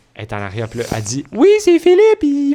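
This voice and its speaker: A man talks in an animated tone, with noticeable background noise around him. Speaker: podcast co-host. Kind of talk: casual chat.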